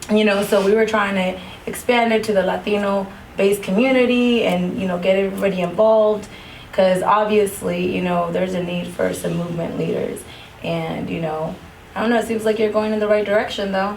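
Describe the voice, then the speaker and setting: A woman talks at a fairly quick pace with fairly even intonation. Noticeable background noise and audible room echo fill the recording. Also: medium pitch for a woman. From US-Mexico border town, West Coast. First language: Spanish. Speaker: podcast host. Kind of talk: casual interview.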